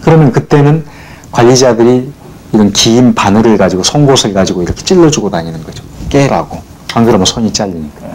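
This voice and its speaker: A man with a medium-pitched voice speaks at a fairly quick pace with very wide pitch swings. Noticeable background noise is present. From South Jeolla, Korea. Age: 40s. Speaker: poet, former labor activist. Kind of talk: documentary interview answer.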